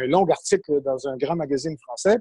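A man speaks with a Quebec accent. His tone is dark and mellow. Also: dry, close sound with no echo. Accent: Québécois French. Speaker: journalist. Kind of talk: interview.

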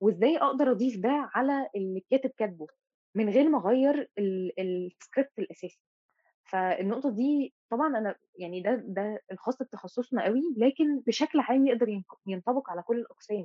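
A woman's plain, everyday voice, fairly high in pitch, with lively intonation and a moderate pace. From Egypt, Mansoura. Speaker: teaching assistant in fine arts. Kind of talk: casual interview chat.

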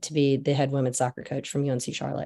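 A woman with an American accent talks at a very fast pace in a dark, mellow tone against a quiet background. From US South (Georgia and North Carolina). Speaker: youth soccer coach. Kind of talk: casual interview.

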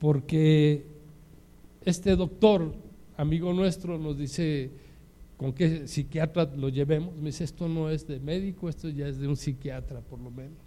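A man with a Mexican accent speaks in a dark, mellow, somewhat breathy tone, his fairly high pitch kept in fairly even intonation. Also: fairly slow pace, big swings in loudness. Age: 60s. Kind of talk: sermon.

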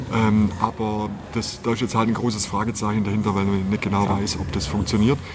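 A man talks at a fairly quick clip in a fairly low voice. Noticeable background noise sits behind him. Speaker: motorcycle salesman. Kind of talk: casual interview. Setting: motorcycle store. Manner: animated.

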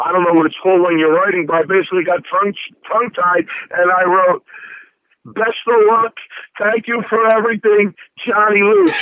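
Delivered at a fairly quick pace with long, frequent pauses, this voice has an American accent, very even loudness and fairly even intonation. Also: man, high pitch for a man. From South Philadelphia. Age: 40s. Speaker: DJ. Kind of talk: interview. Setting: phone call.

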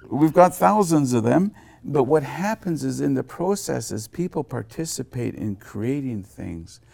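With a dark, mellow tone and medium pitch, a man speaks fairly slowly, his pitch swinging very widely and his loudness rising and falling a lot. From Haida Gwaii, British Columbia, Canada. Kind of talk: interview. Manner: halting, many fillers and repeated words.

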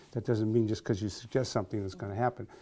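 A man with a dark, mellow tone, recorded very cleanly against a silent background. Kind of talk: casual interview. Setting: office.

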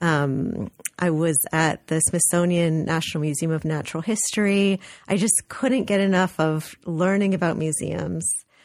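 An ordinary speaking voice, a woman with an American accent talks at a fairly low pitch and a moderate pace, with ordinary pitch variation and very even loudness. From Los Angeles, California. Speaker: art museum director. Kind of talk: radio interview.

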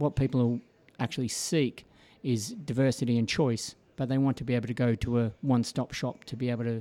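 A dark, mellow tone with an Australian accent at a fairly quick pace, on a very clean recording with a silent background. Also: man. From Australia, Melbourne. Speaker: financial services executive. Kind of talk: radio interview. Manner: hesitant, many fillers.

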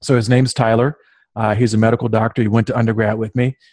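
Talking very fast, a man with an American accent is heard over a quiet background. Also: dry, close sound with no echo. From US South, southern Virginia. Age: 30s. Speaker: author and business owner. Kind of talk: interview.

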